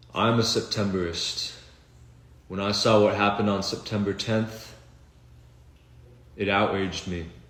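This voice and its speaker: A man speaks in a fairly low pitch with a monotone, flat delivery, and the room echo is audible. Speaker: video blogger. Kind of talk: political monologue. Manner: slow; unscripted, halting.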